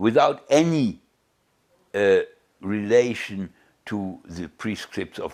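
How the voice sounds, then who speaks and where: A man with a German accent speaks very slowly. His pitch is fairly low. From Germany (Bielefeld). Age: 80s+. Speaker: Holocaust survivor. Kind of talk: interview. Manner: halting, with many repetitions.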